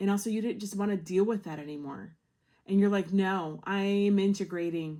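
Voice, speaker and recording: A woman talks at a fairly quick pace with a dark, mellow tone. Her pitch is medium and her intonation fairly even. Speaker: tarot reader. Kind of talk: tarot reading monologue.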